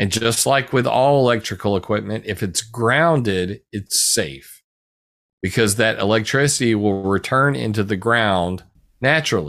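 An ordinary speaking voice with lively intonation talks at a moderate pace, recorded very cleanly against a silent background. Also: man, fairly low pitch for a man. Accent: American. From US South, South Carolina. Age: 40s. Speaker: researcher and blogger. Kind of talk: casual interview.

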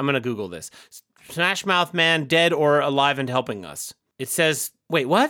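A man with a normal speaking voice, fairly high in pitch and lively in intonation, at a moderate pace, in a dry, close sound with no echo. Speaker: podcast host. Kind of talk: casual chat.

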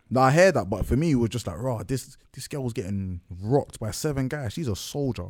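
With a London accent, a man talks at a fairly quick pace with lively intonation and hardly any pauses. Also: medium pitch for a man. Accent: multicultural London English. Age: 20s. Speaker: podcast co-host guest. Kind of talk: casual chat.

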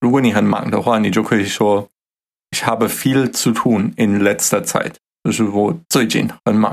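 Speaking with a German accent, a man uses a fairly low pitch, very even loudness and a moderate pace. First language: German (speaking Chinese). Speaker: podcast co-host teaching German. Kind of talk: language lesson chat.

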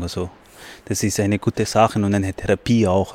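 A man's fairly low voice in monotone, flat intonation at a moderate pace, with a dry, close sound with no echo and a very clean recording with a silent background. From Pakistan. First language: not German (speaking German). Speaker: asylum seeker and student, choir member. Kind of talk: interview. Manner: halting.

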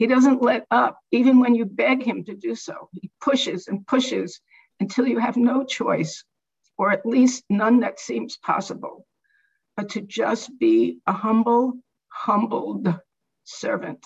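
A woman speaks at a fairly slow pace. Her fairly high voice carries vocal fry. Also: ordinary pitch variation. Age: 70s. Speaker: devotee sharing memories. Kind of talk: personal reminiscence talk.

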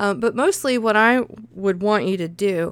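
A woman with a Southern US accent, medium in pitch, with lively intonation. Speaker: podcast host and freelance writer. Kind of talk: casual solo podcast monologue. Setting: home recording. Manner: chatty, laughs often.

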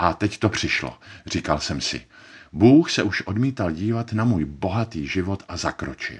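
A man speaks at a moderate pace in a fairly low voice with vocal fry. His pitch swings very widely. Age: 40s. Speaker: actor. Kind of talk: personal testimony narration.

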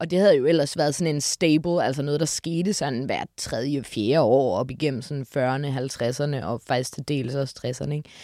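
A woman's voice sounds dry and close with no echo in a very clean recording with a silent background. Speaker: musical enthusiast. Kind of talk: casual chat.

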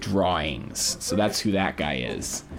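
Very slow speech with ordinary pitch variation over music in the background. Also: man. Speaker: radio host. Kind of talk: radio DJ patter, then casual chat. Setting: studio. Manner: casual, rambling, halting.

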